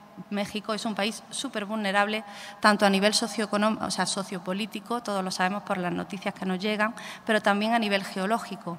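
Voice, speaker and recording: Speaking fairly quickly in an Andalusian accent, a woman keeps a medium pitch and a monotone, flat intonation. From Andalusia, Spain (Málaga, Costa del Sol). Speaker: photographer and artist. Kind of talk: talk presenting own artwork to audience. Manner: hesitant, many fillers.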